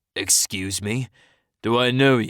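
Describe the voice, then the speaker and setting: This man does a put-on character voice at a medium pitch. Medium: read story. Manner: suspicious, curt.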